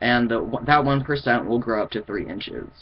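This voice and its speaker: Vocal fry at a moderate pace, with ordinary pitch variation. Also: man. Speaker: vlogger. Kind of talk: casual video update. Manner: halting.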